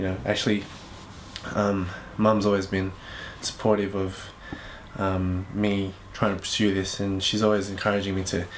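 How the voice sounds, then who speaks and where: A man's fairly low-pitched monotone with flat intonation, moderate pace and long, frequent pauses, plus audible room echo and noticeable background noise. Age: 20s. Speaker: singer and songwriter. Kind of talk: interview. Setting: home studio. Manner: hesitant, many fillers.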